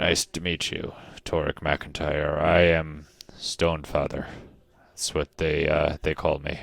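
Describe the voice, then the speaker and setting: Using a put-on character voice, a man speaks very deep and low at a fairly slow pace. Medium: actual play. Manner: slow, deliberate, folksy.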